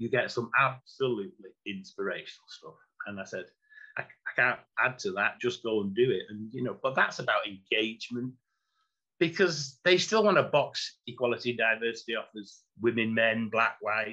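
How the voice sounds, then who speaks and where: A man with a Mancunian accent speaks at a moderate pace in a bright, sharp tone, with lively intonation and big swings in loudness. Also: medium pitch for a man. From Manchester, England. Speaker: former executive and chief operating officer. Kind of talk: interview answer.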